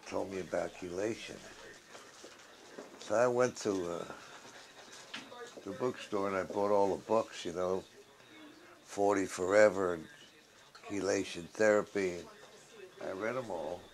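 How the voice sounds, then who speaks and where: Through long, frequent pauses, a man with a fairly low voice speaks at a fairly slow pace with fairly even intonation over noticeable background noise. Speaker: patient giving testimony. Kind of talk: testimony. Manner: casual conversational.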